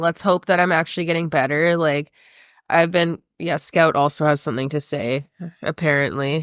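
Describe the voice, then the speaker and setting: Recorded very cleanly against a silent background, a woman with a very deep, low pitch speaks at a moderate pace in a dry, close sound with no echo. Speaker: podcast host. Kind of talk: casual chat.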